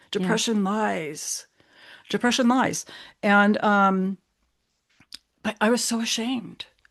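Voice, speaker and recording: In an American accent, a woman speaks at a very slow pace and a medium pitch with ordinary pitch variation, leaving long, frequent pauses. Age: 60s. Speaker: mental health advocate. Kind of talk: podcast interview. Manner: halting, many fillers and restarts.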